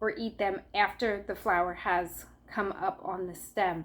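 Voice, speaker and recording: A woman speaks fairly slowly in an unremarkable speaking voice with ordinary pitch variation, on a very clean recording with a silent background. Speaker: herbalist YouTuber. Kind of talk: tutorial. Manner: casual, with fillers.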